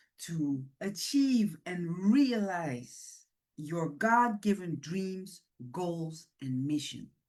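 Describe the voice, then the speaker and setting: A woman speaks at a very slow pace and a medium pitch. Her pitch swings very widely. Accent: Dutch. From Netherlands, Surinamese-born. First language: Dutch. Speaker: women's ministry leader. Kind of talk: motivational talk.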